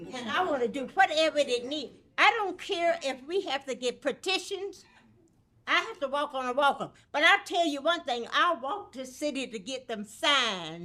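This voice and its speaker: A woman with a high-pitched, bright, sharp tone speaks in a raised, projected voice with lively intonation at a moderate pace, captured in a very clean recording with a silent background. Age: 80s+. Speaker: resident speaking at public comment. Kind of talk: public comment at council meeting. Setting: city council meeting.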